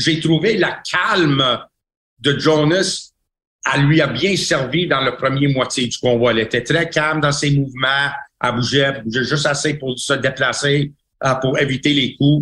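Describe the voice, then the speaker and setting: Speaking at a fairly slow pace, a man uses a fairly high pitch and a bright, sharp tone. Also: fairly even intonation. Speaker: boxing trainer and cutman, podcast co-host. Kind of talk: casual chat. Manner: halting.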